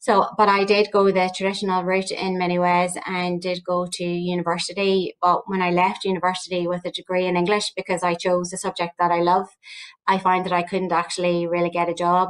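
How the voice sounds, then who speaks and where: A woman's fairly quick, monotone, flat delivery at medium pitch, in a Northern Irish accent. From Northern Ireland, County Armagh. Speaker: research director at a training agency. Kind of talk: panel discussion.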